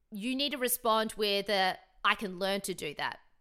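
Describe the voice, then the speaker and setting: Bright, sharp, animated, and energetic in tone, a woman speaks at a medium pitch and moderate pace with ordinary pitch variation on a very clean recording with a silent background. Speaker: podcast host. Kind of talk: solo motivational podcast monologue. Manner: animated, energetic; casual, chatty with filler words.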